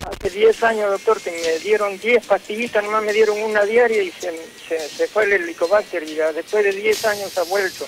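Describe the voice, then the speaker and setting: Music plays in the background as a man speaks. His pitch is high, and his pace is moderate. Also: fairly even intonation. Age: 60s. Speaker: caller, patient. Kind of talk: phone-in consultation.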